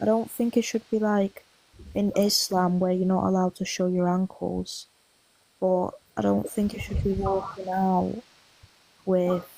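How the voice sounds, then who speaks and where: With a strong northwest English accent, a woman at medium pitch speaks at a fairly slow pace in a monotone, flat intonation, her loudness very even and her speech broken by long, frequent pauses. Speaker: debate participant. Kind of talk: casual debate.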